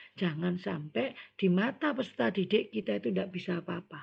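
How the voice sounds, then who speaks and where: Using vocal fry, a woman speaks with very wide pitch swings. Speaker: scout leader trainer. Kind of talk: training lecture.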